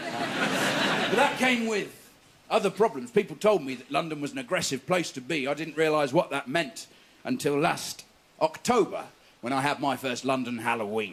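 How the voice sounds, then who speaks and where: At a moderate pace, a fairly high-pitched man with an English accent speaks with very wide pitch swings. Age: 30s. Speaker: stand-up comedian. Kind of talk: stand-up. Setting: stage with audience.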